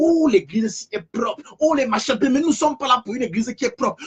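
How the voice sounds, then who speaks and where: The delivery is very fast and animated, with lively intonation, in a dry, close sound with no echo and noticeable background noise. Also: man. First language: African language, not French (speaking French). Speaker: preacher. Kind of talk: sermon. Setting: online live stream. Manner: animated, repetitive.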